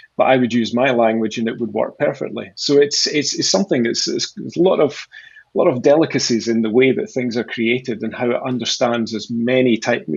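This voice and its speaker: Here a man talks at a fairly quick pace in a Scottish accent. His pitch is medium, with ordinary variation. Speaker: sales executive at a conversational AI company. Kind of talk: interview. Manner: halting, many repeated words.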